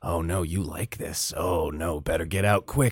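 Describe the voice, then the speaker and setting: Using a put-on character voice, a man speaks with a very deep, low pitch. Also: moderate pace. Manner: whispery, nagging, anxious.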